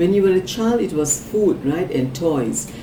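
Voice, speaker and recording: Amid noticeable background noise and audible room echo, a woman speaks with a fairly low pitch and lively intonation. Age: 60s. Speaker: psychic card reader. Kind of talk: psychic reading for a client. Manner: conversational, with filler words.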